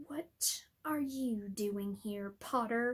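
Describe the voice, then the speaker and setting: A woman uses a put-on character voice. It sits at fairly high pitch with ordinary pitch variation. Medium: read story. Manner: cold, sneering.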